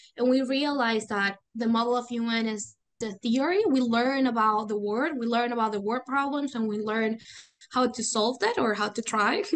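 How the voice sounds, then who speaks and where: A Venezuelan accent at a moderate pace, with fairly even intonation. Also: woman, fairly high pitch for a woman. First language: Spanish. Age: 20s. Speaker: student and youth volunteer. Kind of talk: interview conversation.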